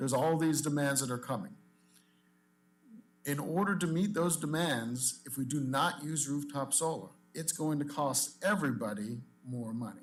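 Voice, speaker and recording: Speaking with a fairly high pitch and ordinary pitch variation, a man leaves long, frequent pauses amid audible room echo. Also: moderate pace. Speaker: industry association president. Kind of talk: public comment at meeting. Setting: public commission meeting.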